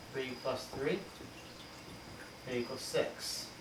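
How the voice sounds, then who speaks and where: This man talks at a very slow pace, his medium pitch rising and falling in an ordinary way. Noticeable background noise and audible room echo come through. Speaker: elementary school teacher. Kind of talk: recorded math lesson for students.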